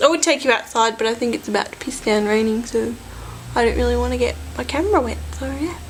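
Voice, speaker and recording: Speaking at a very fast pace with an Australian accent, a woman is heard over noticeable background noise. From Australia, Sydney. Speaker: vlogger. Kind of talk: casual vlog chat. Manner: halting, self-correcting.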